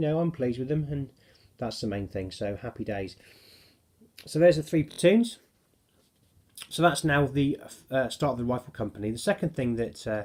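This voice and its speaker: A man in a Cornish accent talks at a fairly quick pace and medium pitch with lively intonation, broken by long, frequent pauses. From Cornwall, England. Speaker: miniature wargaming hobbyist. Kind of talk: casual hobby showcase video. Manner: hesitant, many fillers.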